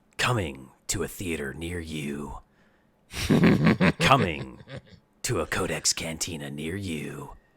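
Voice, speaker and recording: A man puts on a raspy character voice with a very deep, low pitch. He talks at a fairly slow pace with long, frequent pauses. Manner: dramatic, announcing.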